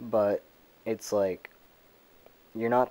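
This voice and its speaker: A man is speaking. His intonation stays monotone and flat. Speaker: gaming vlogger. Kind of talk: casual vlog monologue. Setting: dark bedroom late at night. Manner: rambling stream of consciousness.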